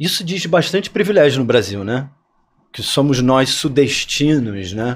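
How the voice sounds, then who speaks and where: Very wide pitch swings in a man's fairly slow speech. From Rio de Janeiro, Barra da Tijuca; Rio de Janeiro. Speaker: actor and playwright; actor. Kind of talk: interview conversation. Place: studio. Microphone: studio mic.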